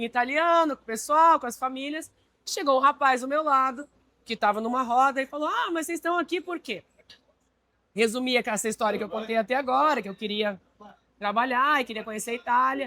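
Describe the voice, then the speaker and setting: Speaking at a fairly quick pace, a woman uses a raised, projected voice with a bright, sharp tone, high pitch and lively intonation. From Brazil. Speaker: marine industry executive. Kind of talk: interview. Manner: hesitant, with fillers.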